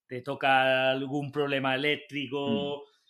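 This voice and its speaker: Recorded very cleanly against a silent background, a man speaks in a bright, sharp tone at a fairly high pitch. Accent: slight southern Spanish. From southern Spain. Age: young. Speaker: motorcycle mechanic and workshop owner. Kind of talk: casual interview chat.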